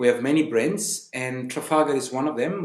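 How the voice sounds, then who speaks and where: A man's medium-pitched voice with an Italian accent, amid audible room echo. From Italy, Sicily. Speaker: tour guide. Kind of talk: casual interview.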